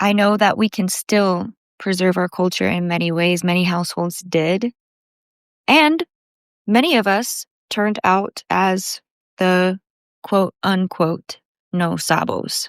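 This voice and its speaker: The speech moves at a very slow pace with long, frequent pauses and ordinary pitch variation. The recording is very clean with a silent background and a dry, close sound with no echo. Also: woman, medium pitch for a woman. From United States, half Puerto Rican. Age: 30s. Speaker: podcast host. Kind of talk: casual monologue.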